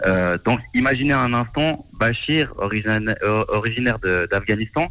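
Ordinary pitch variation runs through a man's bright, sharp-toned voice. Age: 20s. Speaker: fundraiser organizer. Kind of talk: radio interview. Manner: halting, many hesitations.

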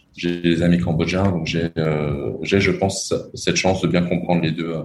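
A man speaks at a moderate pace with a very deep, low pitch. His intonation is fairly even. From France. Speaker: entrepreneur. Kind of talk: interview.

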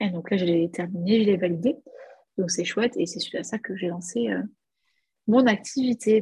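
Somewhat breathy, a woman with a medium pitch and a dark, mellow tone speaks at a moderate pace with ordinary pitch variation and long, frequent pauses. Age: 30s. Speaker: business coach and entrepreneur. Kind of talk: casual interview.

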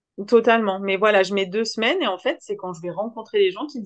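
A woman talks very fast at a medium pitch, with ordinary pitch variation. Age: 30s. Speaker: social worker and app founder. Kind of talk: interview. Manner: animated.

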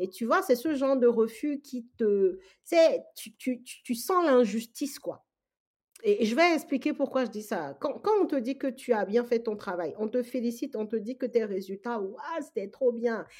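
Speaking at a fairly slow pace, a woman uses a high pitch and lively intonation, with big swings in loudness. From Togo, West Africa. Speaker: real estate investor. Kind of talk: interview.

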